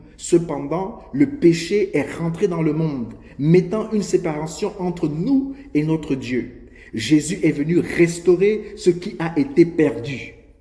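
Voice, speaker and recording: Over noticeable background noise, a man talks very slowly at a high pitch. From Gabon. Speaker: preacher. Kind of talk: sermon.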